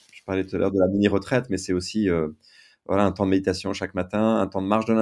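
In a very clean recording with a silent background, a man speaks at a very deep, low pitch. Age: 50s. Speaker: writer and entrepreneur. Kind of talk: testimony.

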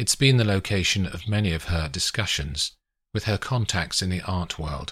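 Over a quiet background, a natural reading voice carries ordinary pitch variation.

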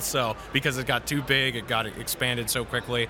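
Over music in the background, a man talks at a fairly quick pace and a medium pitch. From New Hampshire. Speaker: trucker and podcast host. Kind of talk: casual chat. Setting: live event recording.

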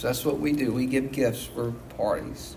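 A man with a fairly high pitch speaks at a moderate pace, his intonation fairly even, with audible echo from the room. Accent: Southern US. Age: 40s. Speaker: pastor. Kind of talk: sermon. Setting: church.

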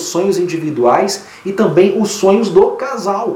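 A man speaks in an animated tone. Audible room echo and noticeable background noise fill the recording. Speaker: therapist and podcast host. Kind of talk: casual monologue with advice on listener emails.

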